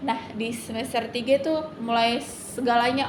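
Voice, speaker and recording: A woman's fairly high, monotone voice with flat intonation, amid audible room echo and noticeable background noise. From Indonesia, Kalimantan. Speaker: university student. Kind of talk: interview testimony. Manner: halting, many fillers.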